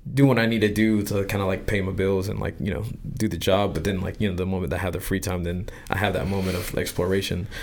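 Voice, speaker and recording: At a fairly quick pace, a man with a fairly low pitch speaks with fairly even intonation, and the room echo is audible. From US military family, partly raised in Japan. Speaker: illustrator. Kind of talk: casual chat. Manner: halting, many fillers.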